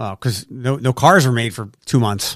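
A man with an American accent talks at a moderate pace with ordinary pitch variation, in a normal speaking voice. The recording is very clean, with a silent background. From Philadelphia, US. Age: 40s. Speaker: radio host. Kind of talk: casual chat.

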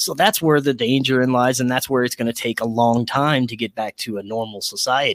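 An ordinary speaking voice at a fairly quick pace, with ordinary pitch variation and hardly any pauses, on a very clean recording with a silent background. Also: man, medium pitch for a man. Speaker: podcaster. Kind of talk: casual chat.

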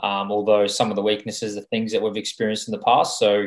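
This is a very clean recording with a silent background. A man with an Australian accent talks at a fairly quick pace in a fairly low pitch. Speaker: racing driver. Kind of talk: interview.

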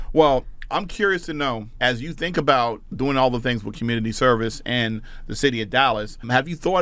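A man talks at a fairly quick pace. He has a New Jersey accent. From suburban New Jersey. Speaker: podcast host and educator. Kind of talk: interview conversation. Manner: fast.

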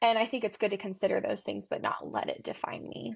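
A woman with an American accent at a fairly quick pace, over a quiet background. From US South, Tennessee. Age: 20s. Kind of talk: casual chat.

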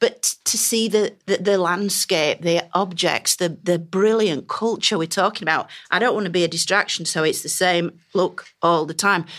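A woman speaks in a Yorkshire accent at a medium pitch. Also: moderate pace. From northern England. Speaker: Egyptologist. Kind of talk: panel discussion.

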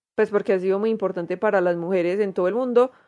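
The speaker uses a paisa Colombian accent with ordinary pitch variation. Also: woman. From Medellín, Colombia. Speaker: podcast co-host. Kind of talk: casual chat.

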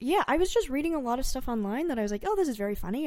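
A woman with a Californian accent has a dark, mellow tone and very wide pitch swings. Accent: Californian American English. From San Francisco Bay Area, California. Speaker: comedy writer. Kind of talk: casual interview.

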